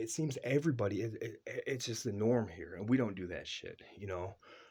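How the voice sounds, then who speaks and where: A man talks at a medium pitch with ordinary pitch variation. His tone is dark and mellow, and somewhat breathy. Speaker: father vlogger. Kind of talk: casual monologue. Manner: fast.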